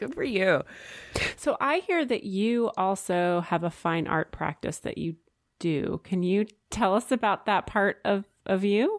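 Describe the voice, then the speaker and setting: A woman with a normal speaking voice and medium pitch uses lively intonation. The recording is very clean with a silent background, a dry, close sound with no echo. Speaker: podcast co-host. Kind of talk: casual interview.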